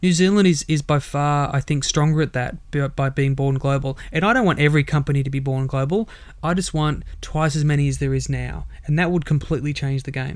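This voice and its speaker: With an Australian accent, a man talks at a fairly quick pace in a fairly high pitch, his intonation fairly even and his pauses hardly there. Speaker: startup mentor and entrepreneur. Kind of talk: interview.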